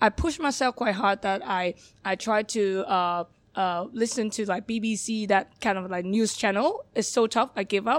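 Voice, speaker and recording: Recorded very clean with a silent background and a dry, close sound with no echo, a woman speaks in a Hong Kong accent at a fairly high pitch with ordinary pitch variation. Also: moderate pace. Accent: Hong Kong Cantonese-accented English. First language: Cantonese. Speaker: bar manager. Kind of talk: interview. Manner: halting; shy.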